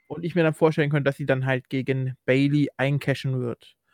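A man with an unremarkable speaking voice talks at a fairly quick pace and fairly high pitch. The sound is dry and close, with no echo. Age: 20s. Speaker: wrestling podcast host. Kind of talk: casual chat.

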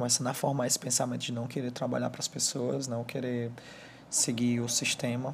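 Somewhat breathy, a man speaks at a fairly quick pace in a monotone, flat intonation. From Brazil, Ceará (Fortaleza). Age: 20s. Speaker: first-time podcaster. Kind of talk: personal monologue. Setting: alone at home, sitting on bed. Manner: halting.

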